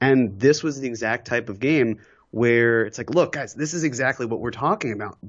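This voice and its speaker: With a plain, everyday voice, a man talks at a moderate pace with ordinary pitch variation. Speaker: podcast guest. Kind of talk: casual chat.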